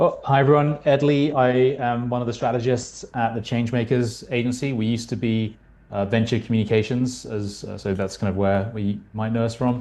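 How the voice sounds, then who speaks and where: With a British accent, a man speaks at a fairly quick pace with hardly any pauses, using a dark, mellow tone, medium pitch and fairly even intonation against a quiet background. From UK. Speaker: marketing strategist. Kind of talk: panel discussion.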